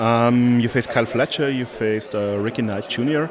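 A man with a German accent, medium pitch, ordinary pitch variation and a moderate pace, over noticeable background noise. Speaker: wrestling interviewer. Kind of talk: interview. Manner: hesitant, many fillers.

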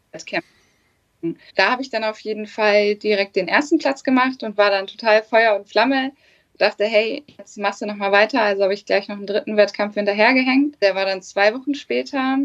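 In a normal speaking voice, a woman talks at a fairly high pitch with ordinary pitch variation and big swings in loudness. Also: fairly quick pace. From northern Germany, Hannover area. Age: 20s. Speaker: bikini fitness athlete. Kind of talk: casual chat.

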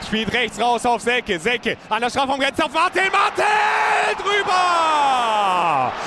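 A shouting man over crowd noise in the background. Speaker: radio football commentator. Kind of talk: live commentary. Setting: stadium. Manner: animated.

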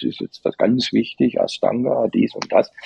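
A man speaks at a moderate pace in a dry, close recording with no echo. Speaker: meditation teacher. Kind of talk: interview.

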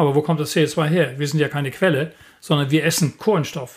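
Somewhat breathy, a man speaks with a fairly high pitch. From northern Germany, Lüneburg Heath. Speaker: climate scientist. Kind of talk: interview.

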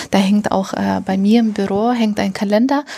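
A woman speaks in a medium pitch with a non-native accent, somewhat breathy and with monotone, flat intonation. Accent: foreign accent in German. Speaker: integration coordinator at a refugee meeting centre. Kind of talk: interview. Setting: meeting centre room.

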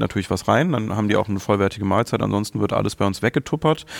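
This is a man speaking. His pitch is fairly low. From Germany, Mönchengladbach (Lower Rhine). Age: 30s. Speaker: content creator guest. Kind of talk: casual chat.

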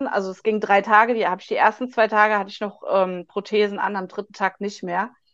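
A woman with a fairly high pitch at a fairly quick pace. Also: hardly any pauses, big swings in loudness. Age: 40s. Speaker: patient advocate, social worker. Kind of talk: interview. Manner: halting, many fillers.

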